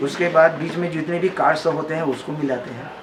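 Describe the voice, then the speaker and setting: Noticeable noise sits in the background. The voice keeps a fairly even intonation. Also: man. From Chhattisgarh, India. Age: 70s. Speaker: harmonium and banjo maker. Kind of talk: interview. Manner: halting, many fillers.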